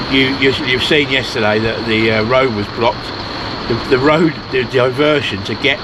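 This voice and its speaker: A man speaks in a British accent. Both noticeable background noise and room echo can be heard. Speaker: van life vlogger. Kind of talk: casual vlog chat. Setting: outdoors. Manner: loud.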